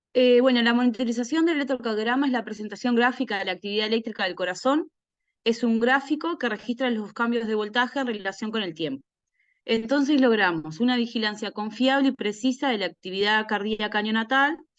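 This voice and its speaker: A woman speaks in a fairly high voice at a fairly quick pace. Her pitch varies in an ordinary way against a quiet background. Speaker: neonatal nurse. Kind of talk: lecture. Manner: fast.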